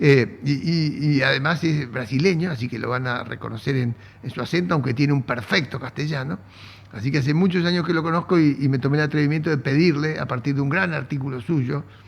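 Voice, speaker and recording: A man with an Argentine accent speaks at a fairly quick pace in a fairly high pitch, his voice somewhat breathy and his pitch varying in an ordinary way. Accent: Argentine Spanish (Rioplatense). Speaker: economics interviewer. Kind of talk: interview.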